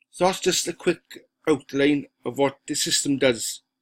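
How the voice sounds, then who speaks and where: A man with a Welsh accent is heard on a very clean recording with a silent background. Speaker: online marketer. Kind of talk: software walkthrough sales pitch. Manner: casual, halting with fillers.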